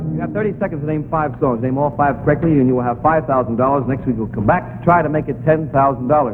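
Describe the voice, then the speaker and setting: Music plays behind a man who talks at a very fast pace. His pitch variation is ordinary. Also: medium pitch for a man. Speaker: game show host. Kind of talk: 1950s TV game show host.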